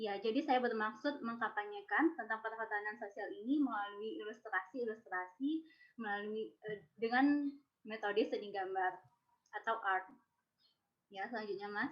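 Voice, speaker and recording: Here is a woman with an unremarkable speaking voice and a fairly high pitch. She keeps a moderate pace with ordinary pitch variation. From West Sumatra, Indonesia. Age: 20s. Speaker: social forestry innovator presenting an idea. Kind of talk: presentation.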